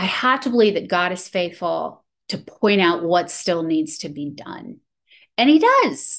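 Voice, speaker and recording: In a plain, everyday voice, the speaker talks at a fairly slow pace with lively intonation and big swings in loudness. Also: woman, medium pitch for a woman. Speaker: meeting participant sharing. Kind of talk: testimony.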